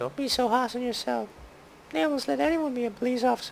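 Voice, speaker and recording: Someone performs a put-on character voice at a very fast pace. The pitch is fairly high, with clear background noise. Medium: game stream. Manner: dry, wry.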